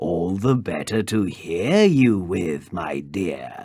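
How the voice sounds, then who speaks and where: This man uses a put-on character voice with a very deep, low pitch. He speaks at a very slow pace. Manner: growling.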